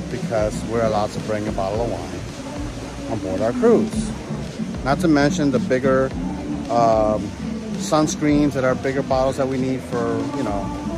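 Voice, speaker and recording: Loud music plays in the background as a man speaks at a moderate pace. The sound itself is dry, with no echo. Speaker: travel vlogger. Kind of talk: casual vlog chat. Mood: mildly annoyed, recounting. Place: station. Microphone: phone near.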